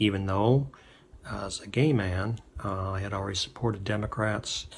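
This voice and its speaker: A man with a fairly low voice talks at a fairly slow pace, somewhat breathy, with ordinary pitch variation. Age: 60s. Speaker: political testimonial speaker. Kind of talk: personal testimony. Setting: self-recorded video. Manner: halting, many fillers.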